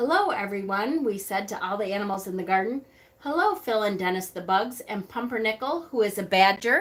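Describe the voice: A plain reading-aloud voice.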